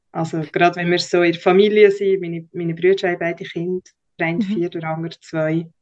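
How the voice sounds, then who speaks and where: Very fast and in a flat monotone, a woman speaks at a fairly low pitch. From Switzerland, Bernese Oberland (Lake Thun). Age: 30s. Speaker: podcast guest, communications professional. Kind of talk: personal interview.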